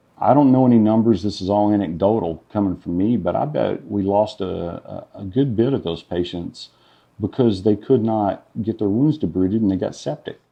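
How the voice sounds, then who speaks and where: A man speaks with an American accent in a fairly low pitch. His pitch varies in an ordinary way. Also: moderate pace. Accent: southern US redneck. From Arkansas. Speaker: nurse. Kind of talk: interview testimony. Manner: hesitant with fillers.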